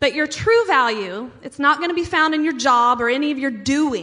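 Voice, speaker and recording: A woman with an American accent speaks in a raised, projected voice at a moderate pace. Her pitch is high, with ordinary variation. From US Midwest, small town. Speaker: pastor. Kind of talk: sermon.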